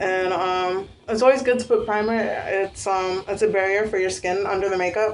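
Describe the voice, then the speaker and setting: A woman is speaking. Her pace is fairly slow. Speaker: beauty vlogger. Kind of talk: tutorial. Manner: casual with many fillers.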